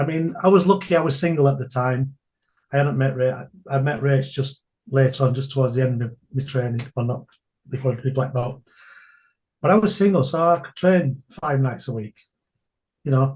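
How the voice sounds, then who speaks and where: A somewhat breathy man with a northern English accent, medium in pitch, at a moderate pace, with long, frequent pauses. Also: ordinary pitch variation. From England. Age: 60s. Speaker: entrepreneur and martial arts instructor. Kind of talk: podcast interview.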